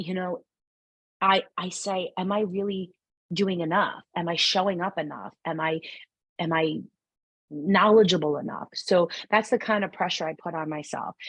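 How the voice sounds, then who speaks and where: A woman with a strong New York accent speaks at a moderate pace and medium pitch in an animated tone. She takes long, frequent pauses over a quiet background. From New York City. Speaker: numerologist and spiritual guide. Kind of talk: podcast interview conversation.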